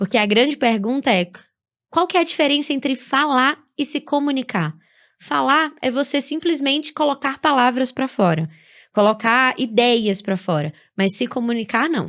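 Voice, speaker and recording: A woman's high voice in a northeastern Brazilian accent, lively in intonation and moderate in pace, on a very clean recording with a silent background. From Brazilian Northeast. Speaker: public speaking teacher. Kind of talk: podcast interview.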